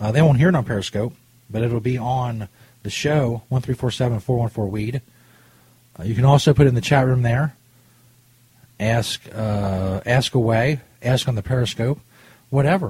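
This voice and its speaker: The voice is somewhat breathy, with ordinary pitch variation, a fairly slow pace and long, frequent pauses. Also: man, medium pitch for a man. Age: 30s. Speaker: cannabis radio host. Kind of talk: casual chat. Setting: studio. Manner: animated.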